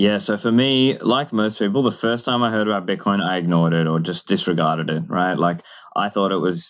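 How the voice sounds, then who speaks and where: At a moderate pace, the talk rises and falls with ordinary pitch variation. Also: man. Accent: Australian. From Australia. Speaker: podcaster and bitcoin advocate. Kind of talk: interview.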